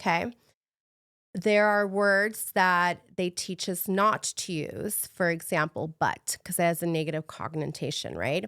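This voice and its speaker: A woman with a Spanish accent at medium pitch, with fairly even intonation and a moderate pace, in a very clean recording with a silent background. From Mexico City, moved to US as a child. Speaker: fitness coach. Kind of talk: podcast interview. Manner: halting, self-correcting.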